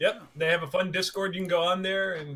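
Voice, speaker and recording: A loud man's voice, high in pitch, at a fairly quick pace. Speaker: co-host, gaming podcaster. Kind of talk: casual chat.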